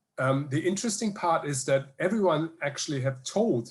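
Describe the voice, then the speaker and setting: A man with a German accent speaks in a somewhat breathy voice. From Germany, Hamburg. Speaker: energy researcher. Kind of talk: Q&A answer at online conference. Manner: halting, many fillers.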